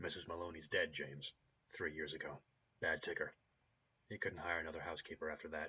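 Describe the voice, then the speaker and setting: A man uses a put-on character voice, raspy and very deep in pitch. He talks at a very fast pace with long, frequent pauses. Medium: solo performance. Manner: blunt, casual.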